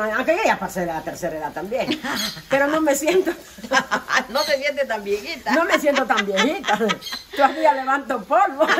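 Very wide pitch swings from a woman at a moderate pace, with noticeable background noise. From Guatemala. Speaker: home cook. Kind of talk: casual chat. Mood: cheerful, warm. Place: kitchen. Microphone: phone near.

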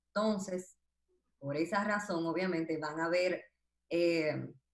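A woman talks with fairly even intonation at a fairly low pitch. Room echo is audible against a quiet background. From Dominican Republic. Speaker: dentist and social media comedian; social media comedian. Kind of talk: interview. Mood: calm, reflective. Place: home room. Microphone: video call.

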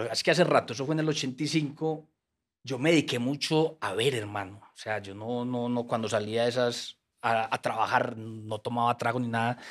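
A man with a Colombian paisa accent, big swings in loudness, over a quiet background. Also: ordinary pitch variation, moderate pace. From Colombia, Antioquia (paisa). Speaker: writer and former troubadour; guest. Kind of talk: casual interview. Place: studio. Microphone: studio mic.

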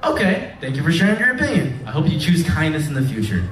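A man speaks quickly with an American accent, his fairly high pitch making big swings. The tone is fairly bright, and the room gives an audible echo.

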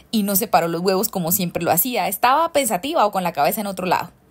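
A woman races along at a very fast pace, playful and animated with lively intonation. The recording is very clean, the background silent. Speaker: storyteller. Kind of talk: bedtime-style storytelling, a cozy narrated anecdote. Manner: playful and animated, with laughter and teasing diminutives.

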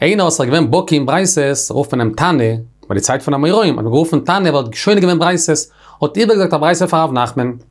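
Over a quiet background, a man with a fairly high pitch talks at a very fast pace, using lively intonation and very even loudness. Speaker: Talmud teacher. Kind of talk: lecture. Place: studio.

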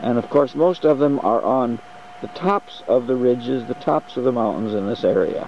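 A man speaks at a moderate pace. The sound is dry with no echo, and there is light background noise. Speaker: tour participant narrating trip. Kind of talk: travelogue audio diary. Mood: enthusiastic.

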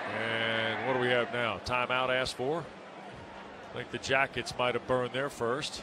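Over noticeable background noise, a man at a medium pitch speaks at a moderate pace in a monotone, flat intonation. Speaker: play-by-play commentator. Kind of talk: live sports commentary. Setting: broadcast booth with game audio.

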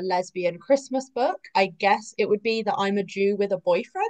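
A woman talks at a moderate pace in a fairly high pitch. The background is quiet. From England. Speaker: romance author and former chef. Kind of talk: panel interview. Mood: cheerful, animated. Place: home room. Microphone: video call.

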